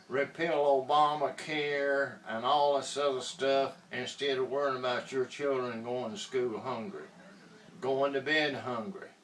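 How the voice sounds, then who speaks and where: Noticeable background noise sits behind a man who talks at a fairly slow pace with a fairly high pitch. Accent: Southern US. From US South, Georgia. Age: 70s. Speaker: inventor promoting a product. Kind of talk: political appeal and sales pitch. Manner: impassioned.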